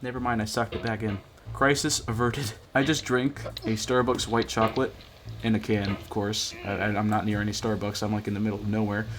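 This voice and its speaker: A man's fairly low voice at a fairly quick pace, with fairly even intonation and noticeable background noise. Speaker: gaming streamer. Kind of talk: gameplay commentary.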